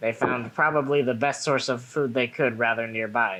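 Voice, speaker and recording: Against noticeable background noise, a man with a medium-pitched voice speaks fairly slowly with fairly even intonation. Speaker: tabletop game player. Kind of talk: tabletop roleplay game.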